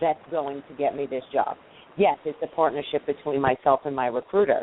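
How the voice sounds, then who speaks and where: A woman is speaking. She has a strong New York accent. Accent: thick New York. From New York, Queens. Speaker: recruiter. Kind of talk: panel discussion. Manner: animated.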